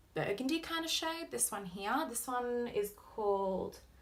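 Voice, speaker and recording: A woman talks very slowly while noticeable noise fills the background. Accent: Australian. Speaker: beauty vlogger. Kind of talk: makeup tutorial.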